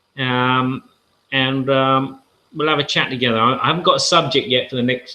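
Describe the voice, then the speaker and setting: With a southern English accent, a man speaks at a moderate pace in a medium pitch with a bright, sharp tone. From southern England. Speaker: board game channel host. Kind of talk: live-stream casual talk. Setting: live video hangout. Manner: rambling with hesitations.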